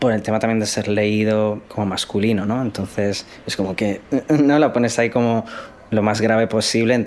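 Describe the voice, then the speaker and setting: A man's fairly low voice at a moderate pace, with fairly even intonation and noticeable background noise. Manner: projects little.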